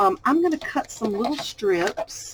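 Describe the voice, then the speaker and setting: Lively in intonation, a woman with a Southern US accent speaks over noticeable background noise. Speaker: crafting YouTuber. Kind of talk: tutorial. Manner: casual, chatty.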